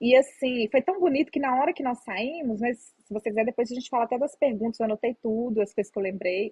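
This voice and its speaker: A woman speaks in a Minas Gerais accent at a fairly quick pace. Her pitch is fairly high, with ordinary variation. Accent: Minas Gerais Brazilian Portuguese. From Minas Gerais, Brazil. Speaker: psychologist. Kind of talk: interview answer.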